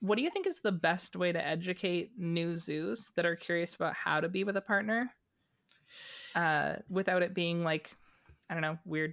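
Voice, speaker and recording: A woman with a fairly low pitch, a moderate pace and an ordinary speaking voice. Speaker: magazine editor. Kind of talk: casual chat. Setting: video call.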